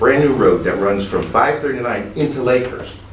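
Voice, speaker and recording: A man talks with an American accent at a medium pitch and ordinary pitch variation. Noticeable background noise and audible room echo are present. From New Jersey. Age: 60s. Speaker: public commenter, retired police officer. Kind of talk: public comment at meeting. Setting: public meeting hall. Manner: animated.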